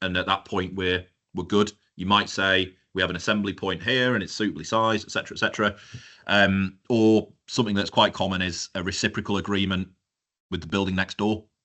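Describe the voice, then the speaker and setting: Talking at a fairly quick pace with a Yorkshire accent, a man keeps a fairly low voice in a flat, monotone intonation. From northern England, North Yorkshire. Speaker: fire engineer. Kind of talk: webinar presentation. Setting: live-streamed webinar. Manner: conversational, with fillers.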